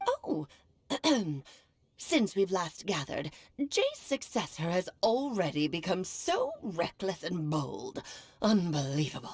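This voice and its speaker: A woman talks in a put-on character voice at a fairly slow pace. She leaves long, frequent pauses. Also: medium pitch for a woman. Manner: scolding, haughty.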